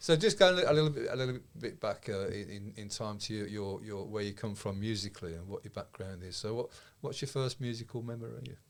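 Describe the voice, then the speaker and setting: A man with a Birmingham accent talks at a fairly quick pace with hardly any pauses, his medium-pitched voice showing ordinary pitch variation and big swings in loudness. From England, Birmingham. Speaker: podcast host. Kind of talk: casual interview. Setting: studio.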